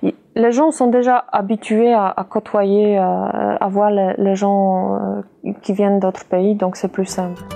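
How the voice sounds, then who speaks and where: With a non-native accent, a woman speaks at a fairly slow pace. Her medium-pitched voice shows ordinary pitch variation. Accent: foreign. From Poland. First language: Polish (speaking French). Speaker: interviewee. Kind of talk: interview.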